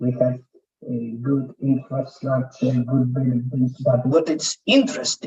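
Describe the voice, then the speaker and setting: A man speaks at a fairly slow pace in a dark, mellow tone that is somewhat breathy, his intonation fairly even. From Poland. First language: Polish. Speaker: conference speaker. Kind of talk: presentation. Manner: soft-spoken.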